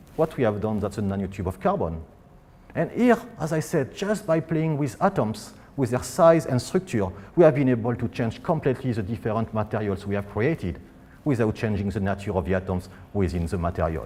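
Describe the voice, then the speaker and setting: A man in a French accent speaks at a fairly quick pace with a dark, mellow, somewhat breathy tone. His fairly low voice makes very wide pitch swings. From France. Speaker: physicist. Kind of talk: public science lecture.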